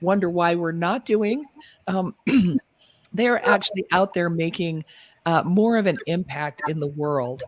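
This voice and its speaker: A woman with an ordinary speaking voice, dry, close sound, no echo. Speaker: podcast host. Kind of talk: casual live-stream talk.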